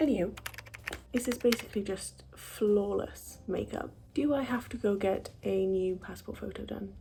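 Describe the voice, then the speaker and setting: Noticeable noise runs in the background. Through it, a woman talks. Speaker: beauty vlogger. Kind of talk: makeup tutorial vlog. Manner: casual, chatty.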